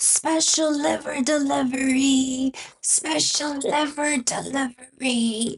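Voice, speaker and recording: A female-sounding, put-on character voice, high and croaky. It moves at a very slow pace. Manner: joking, mock-official.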